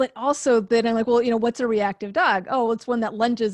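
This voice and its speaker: In a plain, everyday voice, a woman speaks at a fairly high pitch and moderate pace with fairly even intonation, the sound dry and close with no echo over a quiet background. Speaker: dog trainer. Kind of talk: casual chat. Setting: video call.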